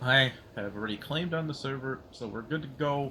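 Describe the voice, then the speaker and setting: A man speaks with a bright, sharp tone. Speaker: gaming streamer. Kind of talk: casual live stream commentary. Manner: quiet; hesitant, many fillers.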